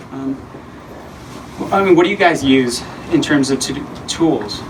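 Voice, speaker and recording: Noticeable background noise and audible room echo fill the recording. A man speaks in a medium pitch. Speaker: conference presenter. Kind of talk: presentation with audience Q&A. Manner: fast; casual, filler-heavy.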